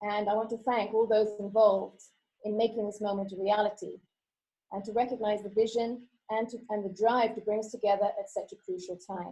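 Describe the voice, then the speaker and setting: A woman's fairly high, somewhat breathy voice with a dark, mellow tone, monotone, flat intonation and a British accent. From UK, childhood in Costa Rica and Kenya. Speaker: teacher. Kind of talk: conference talk. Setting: online video presentation. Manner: hesitant, many fillers.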